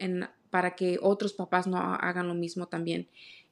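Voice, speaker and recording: Speaking at a fairly slow pace, a woman keeps a monotone, flat intonation. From Mexico (Oaxaca), raised in South Carolina from age 10. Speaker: author. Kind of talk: casual interview.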